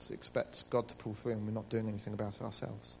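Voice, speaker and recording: This man talks at a very fast pace. He has a British accent. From Britain. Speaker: church member back from ministry school. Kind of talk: church testimony.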